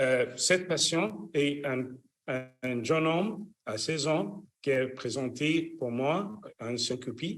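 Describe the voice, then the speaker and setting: A very slow delivery with lively intonation and audible room echo. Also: man. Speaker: cardiologist, electrophysiologist. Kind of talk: lecture. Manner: halting, many fillers.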